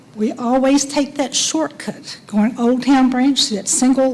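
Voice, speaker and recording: A woman's high voice at a fairly slow pace, with fairly even intonation and noticeable background noise. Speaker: resident speaking at public hearing. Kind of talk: public comment. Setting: public meeting, at microphone. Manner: soft-spoken; halting.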